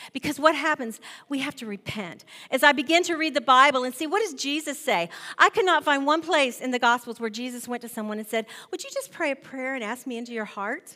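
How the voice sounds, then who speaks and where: A woman speaks in a raised, projected voice with a high pitch and a bright, sharp tone, using lively intonation at a very fast pace. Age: 50s. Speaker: guest preacher. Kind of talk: sermon.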